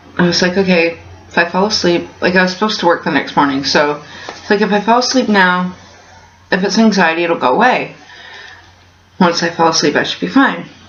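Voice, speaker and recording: A woman at medium pitch talks at a fairly quick pace with long, frequent pauses, very even loudness and ordinary pitch variation, amid noticeable background noise and audible room echo. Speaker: vlogger. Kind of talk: casual vlog. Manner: hesitant, many fillers.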